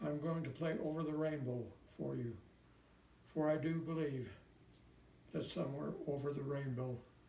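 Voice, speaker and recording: A man with a Midwestern American accent speaks at a moderate pace and a fairly high pitch. His intonation is fairly even, and audible room echo surrounds him. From US Midwest, Indiana. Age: 90s. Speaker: war veteran. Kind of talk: personal letter read aloud.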